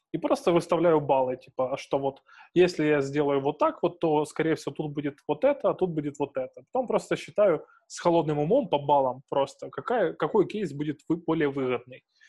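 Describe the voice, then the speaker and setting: A man speaks at a moderate pace with a fairly high pitch. His tone is dark and mellow, and his pitch varies in an ordinary way. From Ukrainian provinces. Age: 20s. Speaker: podcast host. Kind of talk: casual chat.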